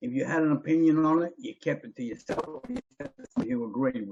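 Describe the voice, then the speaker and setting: A man's fairly high voice with an Australian accent, lively intonation, and a moderate pace. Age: 60s. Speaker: ex-believer guest. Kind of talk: casual interview chat.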